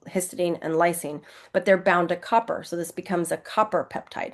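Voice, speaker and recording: Over a quiet background, a woman with a fairly low voice speaks fairly quickly. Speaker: naturopath and product educator. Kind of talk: educational slideshow presentation. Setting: screen-share video. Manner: fast.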